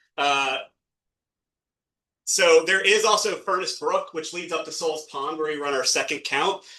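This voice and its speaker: Pausing long and often, a man talks in a high, bright, sharp tone. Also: ordinary pitch variation. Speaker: watershed ecologist presenting at nonprofit meeting. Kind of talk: presentation. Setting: meeting room with audience, streamed on video call. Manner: fast; halting, many fillers.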